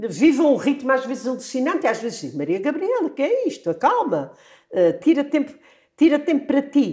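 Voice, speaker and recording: With very wide pitch swings, a woman speaks at a high pitch. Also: fairly quick pace. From Azores, Flores island. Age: 70s. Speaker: retired primary school teacher. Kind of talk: interview conversation.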